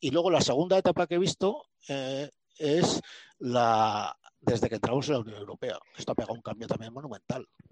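The sound is dry and close with no echo as a man speaks at a very fast pace. His fairly high voice carries lively intonation. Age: 60s. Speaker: physician and medical historian. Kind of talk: talk at a cultural discussion group. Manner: halting.

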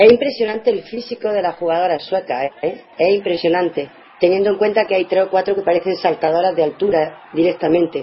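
A woman speaks at a medium pitch with ordinary pitch variation. Her pace is fairly quick with hardly any pauses, against noticeable background noise. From Andalusia, Spain. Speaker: radio co-host providing stats and social media. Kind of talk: casual radio chat.

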